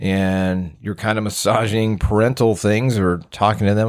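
In a very clean recording with a silent background, a man with an American accent speaks fairly slowly. He has an unremarkable speaking voice, fairly low in pitch with ordinary pitch variation. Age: 40s. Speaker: podcast host and fire captain. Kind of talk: casual solo podcast talk.

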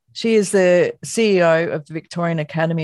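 A woman is speaking. She has an Australian accent. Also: dry, close sound with no echo. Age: 50s. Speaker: podcast host, academic. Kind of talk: reading a guest bio; interview.

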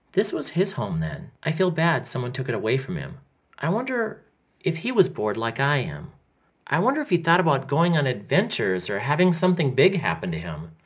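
Against a quiet background, a man talks at a fairly quick pace with vocal fry. His tone is animated, with very wide pitch swings. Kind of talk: audiobook-style fiction reading, first-person diary of a boy. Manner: earnest boyish wonder, animated and chatty, voicing a restless twelve-year-old's diary.

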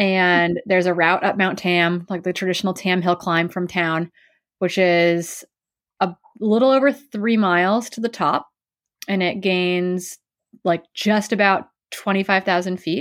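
In an ordinary speaking voice, a woman talks at a fairly slow pace and medium pitch with fairly even intonation, on a very clean recording with a silent background. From US Midwest, Wisconsin. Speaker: professional ultra runner and coach. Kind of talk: interview, casual chat.

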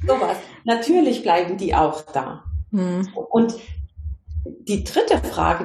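A woman speaks in a normal speaking voice, her pitch in the medium range. Her intonation is lively. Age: 50s. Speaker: consciousness coach. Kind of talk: interview. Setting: video call.

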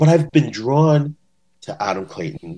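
This is a man speaking with a Canadian accent. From Ontario, Canada. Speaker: bass-playing superfan. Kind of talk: casual interview. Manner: animated.

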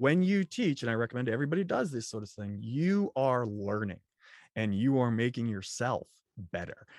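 A man with a plain, everyday voice, medium pitch, lively intonation and a moderate pace, against a quiet background. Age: 40s. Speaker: software developer and trainer. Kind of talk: interview.

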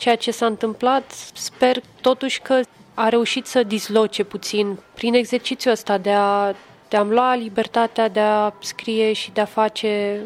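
Her intonation stays monotone and flat as a woman talks at a fairly slow pace, pitched fairly high. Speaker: poet. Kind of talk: casual chat. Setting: hotel lobby.

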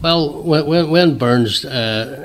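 A man speaks with a Northern Irish accent. His pace is very slow. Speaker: association president. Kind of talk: radio interview, chatty explanation. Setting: radio studio. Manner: chatty, rambling, self-deprecating.

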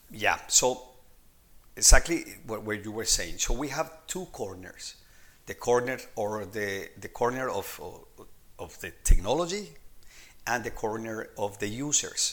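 A man with a Spanish accent, long and frequent pauses, big swings in loudness, and a very clean recording over a silent background. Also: fairly slow pace. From Colombia. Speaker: techno-anthropologist. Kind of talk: interview. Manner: halting.

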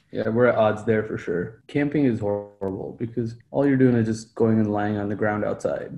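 A man's medium-pitched voice at a moderate pace, with hardly any pauses. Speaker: podcast co-host. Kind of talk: casual banter. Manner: joking, animated.

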